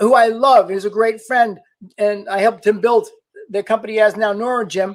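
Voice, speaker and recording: A man's high-pitched voice with a slight New York accent and fairly even intonation. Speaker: LinkedIn marketing coach. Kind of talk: live stream talk. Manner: fast; direct, in your face.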